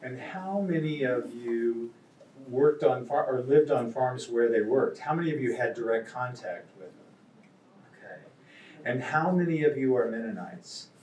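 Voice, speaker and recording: Somewhat breathy speech with an American accent, a moderate pace, big swings in loudness, and audible room echo. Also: man, medium pitch for a man, ordinary pitch variation. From Kansas. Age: 70s. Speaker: novelist. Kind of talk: talk to a live audience. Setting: stage with audience.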